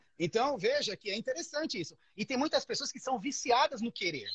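At a moderate pace, a man speaks with an extremely high pitch. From Brazil, São Paulo. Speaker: electrical engineer. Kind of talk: casual chat.

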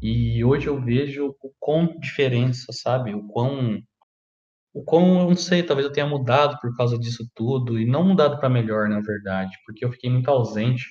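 A man with a medium pitch, ordinary pitch variation and a moderate pace. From Brazil, Paraná (Maringá area). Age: 20s. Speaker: podcaster. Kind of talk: personal monologue. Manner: casual, halting.

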